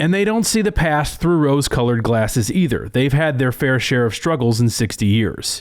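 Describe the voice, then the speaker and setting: In an ordinary speaking voice at medium pitch, a man talks with lively intonation, very even loudness and hardly any pauses. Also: moderate pace. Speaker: agricultural news reporter. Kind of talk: TV news feature narration.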